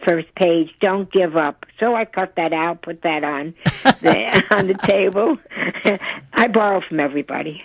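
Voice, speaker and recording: Speaking at a fairly slow pace, a woman uses ordinary pitch variation in a New York accent. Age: 90s. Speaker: yoga teacher. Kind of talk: radio interview answer. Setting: phone line.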